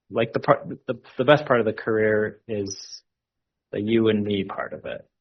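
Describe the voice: His voice carries a slightly husky edge and vocal fry as a man speaks with ordinary pitch variation. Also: fairly low pitch for a man, moderate pace.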